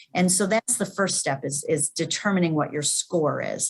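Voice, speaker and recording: A woman with a medium pitch speaks with ordinary pitch variation and a somewhat breathy quality. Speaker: cardiac electrophysiologist. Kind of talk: webinar Q&A. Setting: webinar.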